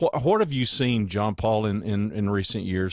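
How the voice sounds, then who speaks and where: Against a very clean recording with a silent background, a man with an unremarkable speaking voice talks at a moderate pace in a fairly low pitch. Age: 60s. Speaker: podcast host. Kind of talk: casual interview chat.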